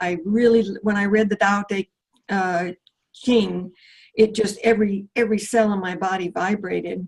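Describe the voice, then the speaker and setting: Somewhat breathy and at a medium pitch, a woman speaks at a fairly slow pace with fairly even intonation. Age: 70s. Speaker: retired computer professional, spiritual seeker. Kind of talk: casual interview chat. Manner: halting, many fillers and restarts.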